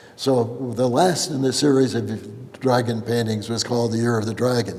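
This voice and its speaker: The intonation stays fairly even. Noticeable background noise and audible room echo fill the recording. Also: man. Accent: American. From California. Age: 80s+. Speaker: abstract painter. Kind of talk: gallery talk. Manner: halting, with frequent repetitions and fillers.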